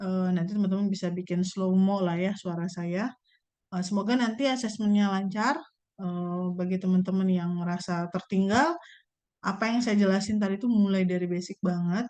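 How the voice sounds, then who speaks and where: A woman speaks in a medium pitch with a dark, mellow tone. Her intonation is fairly even, and the background is quiet. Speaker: university lecturer. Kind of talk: lecture. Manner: fast; casual.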